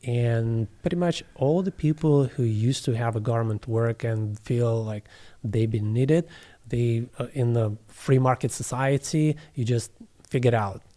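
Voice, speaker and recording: A man with a Russian accent speaks at a moderate pace and medium pitch. His tone is dark and mellow, with ordinary pitch variation. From southeast Russia, near Kazakhstan border. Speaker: plant medicine facilitator. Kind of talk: interview. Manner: halting.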